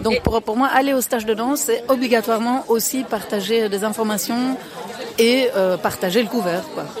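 A woman's fairly high voice at a moderate pace, with crowd noise in the background. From Belgium. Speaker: dance teacher. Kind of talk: interview.

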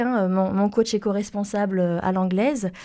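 A woman speaks at a moderate pace with a medium-pitched voice. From France, Toulouse. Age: 30s. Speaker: environmental consultant. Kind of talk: interview. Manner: hesitant, many fillers and repetitions.

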